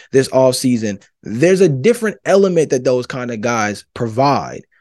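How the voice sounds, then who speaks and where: A man with an American accent has a dark, mellow tone. He talks at a fairly quick pace with lively intonation. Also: quiet background. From Georgia, US South. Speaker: sports podcast host. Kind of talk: solo sports commentary podcast. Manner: animated.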